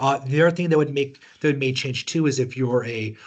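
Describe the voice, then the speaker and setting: At a fairly quick pace, a man speaks in a somewhat breathy voice at a medium pitch. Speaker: tax seminar presenter. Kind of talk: webinar lecture. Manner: fast.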